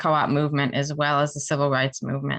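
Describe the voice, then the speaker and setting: A woman speaks with an American accent and a bright, sharp tone. The background is quiet. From New York. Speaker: professor. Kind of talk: lecture. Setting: video call. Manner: fast.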